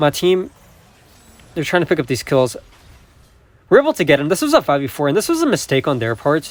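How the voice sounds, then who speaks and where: A man's fairly high voice at a very fast pace, with ordinary pitch variation and long, frequent pauses. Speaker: mobile game streamer and coach. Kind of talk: gameplay commentary.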